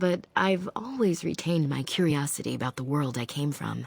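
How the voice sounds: A woman uses a put-on character voice with vocal fry, a slightly husky edge and low pitch. Her intonation is lively and her pace moderate.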